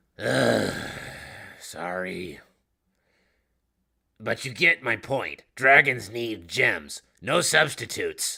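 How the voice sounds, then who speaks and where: Putting on a raspy character voice at medium pitch, a man speaks at a very slow pace with long, frequent pauses. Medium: read story. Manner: blunt, casual.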